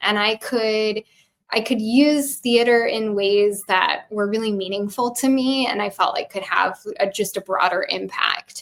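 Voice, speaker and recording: The pitch varies in an ordinary way. The pace is fairly slow. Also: woman, fairly high pitch for a woman. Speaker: tarot reader and theater educator. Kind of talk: casual chat.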